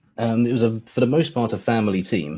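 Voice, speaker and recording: A man with a southern English accent speaks at a fairly low pitch. His tone is dark and mellow, with ordinary pitch variation. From England, near London. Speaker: guest, robot combat enthusiast. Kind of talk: casual livestream chat.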